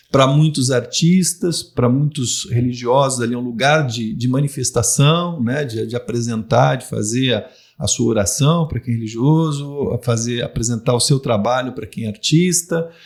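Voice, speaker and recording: A somewhat breathy man speaks at a moderate pace and medium pitch, with ordinary pitch variation and hardly any pauses. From Londrina, Paraná, southern Brazil. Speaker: former city culture secretary. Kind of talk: podcast interview.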